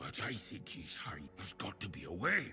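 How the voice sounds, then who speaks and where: There is clear music in the background. Over it, a man puts on a character voice. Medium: video game. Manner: chatty.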